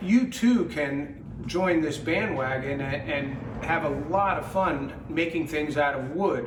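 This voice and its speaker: The voice moves at a very slow pace with lively intonation, surrounded by audible room echo and noticeable background noise. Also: man, fairly high pitch for a man. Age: 60s. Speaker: woodworking teacher. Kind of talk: promotional talk. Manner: hesitant, many fillers.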